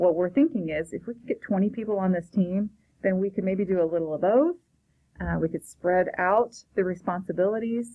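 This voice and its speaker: At a fairly quick pace, a woman with an American accent talks in a medium pitch with ordinary pitch variation and big swings in loudness. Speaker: school principal. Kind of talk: recorded informational talk to parents. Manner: fast; casual.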